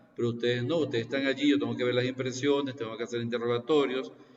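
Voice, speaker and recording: Noticeable background noise and audible room echo surround a man speaking at a medium pitch with fairly even intonation. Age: 60s. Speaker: economics professor. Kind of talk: lecture. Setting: video call. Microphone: unstable internet connection.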